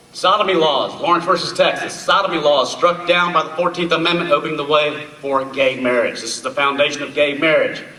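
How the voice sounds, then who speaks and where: A man speaks at a fairly quick clip with hardly any pauses, his pitch fairly high and his intonation fairly even. Noticeable background noise and audible room echo surround him. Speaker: speaker on constitutional history. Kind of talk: public talk. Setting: stage with audience. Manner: loud.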